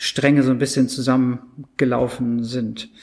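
This man's voice sits at a medium pitch and stays monotone, with flat intonation. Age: 40s. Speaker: advertising agency executive and consultant. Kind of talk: interview.

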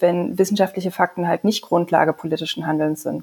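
An unremarkable speaking voice belongs to a woman of medium pitch. Her intonation stays fairly even. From Saxony, Leipzig. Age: 30s. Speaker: member of parliament and physician. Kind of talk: casual chat.

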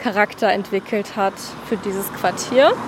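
A woman's fairly high voice over noticeable background noise. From Hamburg-Wilhelmsburg, Germany. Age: 20s. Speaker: university student, local neighbourhood guide. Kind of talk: interview on a walk. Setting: outdoors on a neighbourhood walk.

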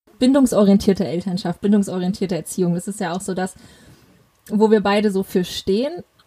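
A woman talks at a fairly quick pace and a medium pitch. Her tone is dark, mellow and somewhat breathy, with ordinary pitch variation. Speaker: parenting podcast host. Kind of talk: interview.

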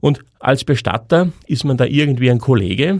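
A man with an ordinary speaking voice talks at a moderate pace with ordinary pitch variation, on a very clean recording with a silent background. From Upper Austria. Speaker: podcast host, psychologist and former funeral director. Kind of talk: monologue podcast narration.

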